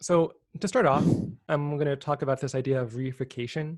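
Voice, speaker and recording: On a very clean recording with a silent background, a man speaks somewhat breathily at a fairly high pitch. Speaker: presenter on effective altruism topics. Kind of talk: informal slide presentation. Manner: fast; hesitant, many fillers.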